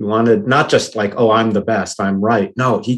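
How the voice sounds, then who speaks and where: A man with an American accent and a plain, everyday voice, medium in pitch, at a moderate pace with fairly even intonation over a quiet background. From US Northeast, Boston. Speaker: tech entrepreneur. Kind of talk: podcast interview.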